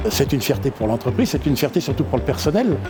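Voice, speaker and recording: Noticeable background noise accompanies a man whose voice makes very wide pitch swings. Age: 60s. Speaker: company director. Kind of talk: interview testimony.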